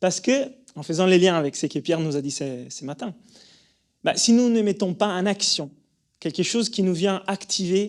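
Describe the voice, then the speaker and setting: Speaking at a moderate pace with an Italian accent, a man with a high pitch is heard in a very clean recording with a silent background. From Italy. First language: Italian (speaking French). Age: 30s. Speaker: breathing coach and yoga teacher. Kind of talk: conference talk. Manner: halting, many fillers and repetitions.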